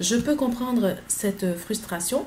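Lively intonation over light background noise. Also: woman. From Côte d'Ivoire (Abidjan, Yopougon); Côte d'Ivoire. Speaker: vlogger. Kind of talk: casual vlog monologue. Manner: animated, repetitive. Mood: frustrated, defensive. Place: home room. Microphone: webcam.

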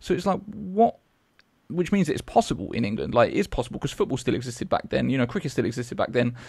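Over a quiet background, a man with a British accent talks at a very fast pace and a medium pitch, with very wide pitch swings and vocal fry. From Britain. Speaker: podcast host. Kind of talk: interview. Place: studio. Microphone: studio mic.

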